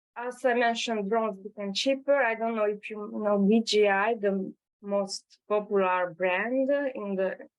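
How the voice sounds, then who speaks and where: Speaking with a Hungarian accent, a woman talks at a fairly slow pace and fairly high pitch, with ordinary pitch variation. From Hungary. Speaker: drone startup founder. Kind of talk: webinar presentation. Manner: halting, many fillers.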